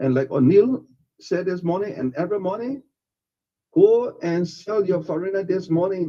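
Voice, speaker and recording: At a moderate pace, a man talks with high pitch. His tone is dark and mellow. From Liberia. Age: 70s. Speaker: radio show guest, elder statesman. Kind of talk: radio interview. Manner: animated.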